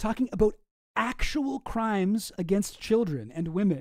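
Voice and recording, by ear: Against a quiet background, someone is reading aloud in a natural voice, the intonation lively.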